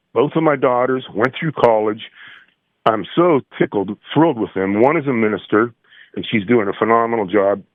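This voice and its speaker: Speaking at a fairly quick pace with an American accent, a man with an ordinary speaking voice at medium pitch uses lively intonation. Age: 60s. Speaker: musician. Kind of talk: casual chat.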